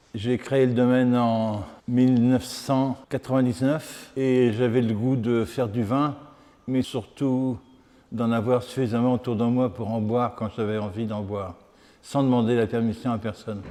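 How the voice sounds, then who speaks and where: A man speaks with medium pitch in a dark, mellow tone. His pace is fairly slow and his intonation fairly even. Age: 70s. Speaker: retired winemaker. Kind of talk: interview.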